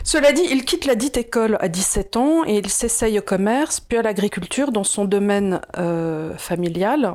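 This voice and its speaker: A woman speaks at a moderate pace with hardly any pauses. Her voice sits at a medium pitch, with lively intonation. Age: 50s. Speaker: video host. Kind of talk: casual explanatory chat. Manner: hesitant, many fillers.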